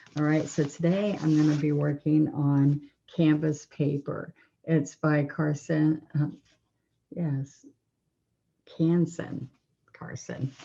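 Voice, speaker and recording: Soft-spoken and very slow, a woman talks at a very deep, low pitch in a dark, mellow tone, flat and monotone, with long, frequent pauses. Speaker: painting instructor. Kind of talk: tutorial. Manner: relaxed.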